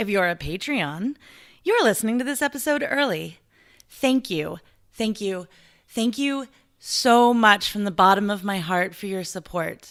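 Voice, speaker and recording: A woman with an unremarkable speaking voice, medium in pitch, with lively intonation and a fairly slow pace, on a very clean recording over a silent background. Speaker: podcast host. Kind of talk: podcast intro and fundraising appeal.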